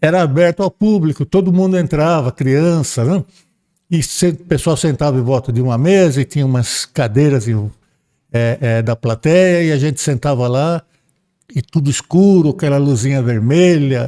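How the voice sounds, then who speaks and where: Heard in a dry, close sound with no echo, a man with a fairly high pitch and a dark, mellow tone speaks at a moderate pace. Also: ordinary pitch variation. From Brazil, São Paulo. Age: 70s. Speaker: spiritist speaker. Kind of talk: podcast interview, storytelling. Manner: halting, many repetitions.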